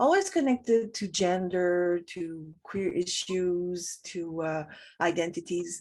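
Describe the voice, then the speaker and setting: Over a quiet background, a woman talks in a French accent at a medium pitch. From Montreal, Quebec. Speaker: professor and writer. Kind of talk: interview. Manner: halting.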